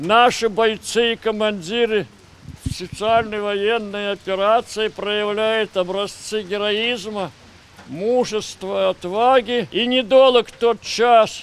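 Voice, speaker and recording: A man's high-pitched voice, very slow, with fairly even intonation and a dry, echo-free sound. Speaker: war veteran. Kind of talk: speech at ceremony. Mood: solemn, dignified. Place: street.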